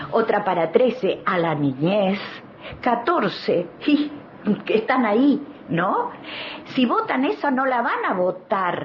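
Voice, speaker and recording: A Rioplatense accent over noticeable background noise. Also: woman. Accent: Argentine Spanish (rioplatense). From Argentina, Neuquén. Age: 70s. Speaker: activist, children's rights advocate and author. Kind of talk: studio interview. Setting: studio.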